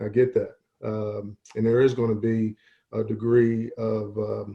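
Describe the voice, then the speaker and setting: A man with an American accent speaks at a fairly low pitch. His voice is somewhat breathy. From Baltimore, Maryland. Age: 50s. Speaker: football coach. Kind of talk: panel discussion. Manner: halting, many fillers.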